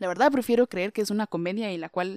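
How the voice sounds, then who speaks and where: On a very clean recording with a silent background and a dry, close sound with no echo, a woman talks at a moderate pace in an ordinary speaking voice with ordinary pitch variation. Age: young. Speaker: podcaster. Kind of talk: motivational monologue.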